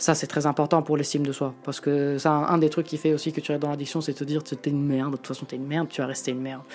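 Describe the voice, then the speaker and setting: A woman speaks very fast in a very deep, low voice, her intonation monotone and flat. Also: hardly any pauses. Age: 30s. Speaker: photographer and reporter. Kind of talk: casual interview talk. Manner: halting.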